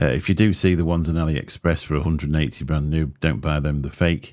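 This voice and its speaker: A man speaks in a very deep, low pitch with a dark, mellow tone and an English accent. His intonation is fairly even and his pace fairly quick. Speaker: tech reviewer. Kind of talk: product comparison vlog. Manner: casual, halting. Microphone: close to microphone.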